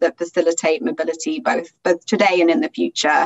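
A woman talking at a fairly quick pace. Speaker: migration policy research director, panel moderator; panel moderator. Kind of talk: moderated panel discussion. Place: home room. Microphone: webcam.

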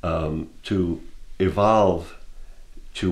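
The man's voice comes across as somewhat breathy. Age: 60s. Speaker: painter. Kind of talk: personal testimony. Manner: reflective, with frequent hesitations. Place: home room.

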